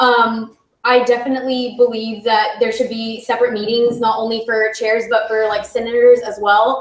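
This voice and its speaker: At a moderate pace and with hardly any pauses, a woman speaks in a fairly high, monotone, flat voice. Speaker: student senator, candidate for speaker pro tempore. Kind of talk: election speech and Q&A at student senate meeting. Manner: casual, filler-heavy.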